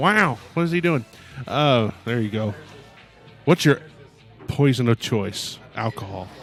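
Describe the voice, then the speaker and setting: Over music in the background, a man at a medium pitch talks at a fairly slow pace with lively intonation and long, frequent pauses. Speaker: podcast host.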